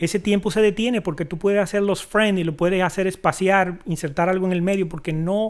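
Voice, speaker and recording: Talking at a fairly quick pace with hardly any pauses, a man with a strong Dominican accent uses a high pitch and fairly even intonation. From Dominican Republic. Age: 50s. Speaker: video director and editor. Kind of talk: interview.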